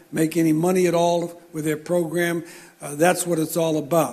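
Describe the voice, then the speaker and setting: The speaker is a man with a high pitch. He keeps a moderate pace. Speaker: baseball coach, banquet speaker. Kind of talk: after-dinner speech. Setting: banquet with audience.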